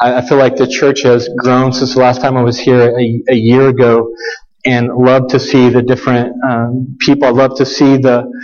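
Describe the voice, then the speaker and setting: Over noticeable background noise and audible room echo, a man at medium pitch talks at a moderate pace in a monotone, flat intonation with very even loudness. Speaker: guest preacher. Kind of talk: sermon. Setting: church with congregation. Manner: halting, with repeated words.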